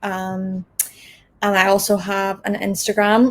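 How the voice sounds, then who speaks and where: With a Donegal accent, a woman speaks at a fairly slow pace and a medium pitch. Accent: Irish, Donegal (Ulster). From Ireland, Donegal. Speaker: language content creator. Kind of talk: interview.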